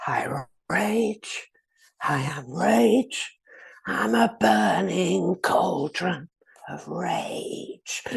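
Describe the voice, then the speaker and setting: Whispering quietly in a raspy, put-on character voice, a man speaks very slowly with long, frequent pauses. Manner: whispered, spooky.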